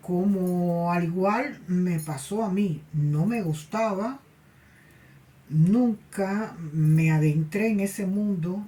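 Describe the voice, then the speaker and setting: This woman talks at a very slow pace in a medium pitch, her tone dark and mellow, somewhat breathy, with ordinary pitch variation. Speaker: spiritualist medium and tarot channel host. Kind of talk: personal anecdote monologue. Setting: cold place. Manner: halting, with repetitions and fillers.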